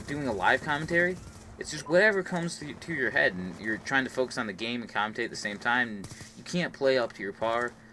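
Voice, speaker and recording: With a normal speaking voice, a man talks fairly quickly at medium pitch, his intonation lively. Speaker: gaming YouTuber. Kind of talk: gameplay commentary. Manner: casual, filler-heavy.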